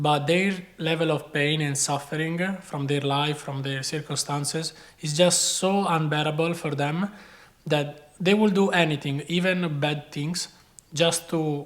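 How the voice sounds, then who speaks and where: With a non-native accent, a man speaks fairly slowly at a fairly high pitch with fairly even intonation. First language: not English. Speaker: chef and video creator. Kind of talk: personal advice talk. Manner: casual.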